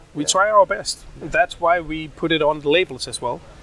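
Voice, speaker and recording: The speaker has a Danish accent. Their pitch varies in an ordinary way. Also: man. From Denmark, Odense. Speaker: rum company founder. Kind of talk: interview. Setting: trade fair in Berlin.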